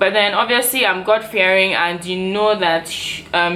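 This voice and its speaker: A woman speaks at a moderate pace in a medium pitch, her pitch varying in an ordinary way. Noticeable background noise runs underneath. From Nigeria, Port Harcourt. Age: 20s. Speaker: YouTuber. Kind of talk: casual Q&A vlog. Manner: chatty, filler-heavy.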